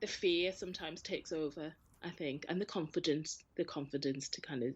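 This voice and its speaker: The speaker talks at a fairly quick pace with ordinary pitch variation in a Geordie accent. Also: woman, very deep, low pitch for a woman. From northern England, Newcastle. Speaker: arts sector worker and charity chair. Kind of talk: casual interview chat. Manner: hesitant, repeats words.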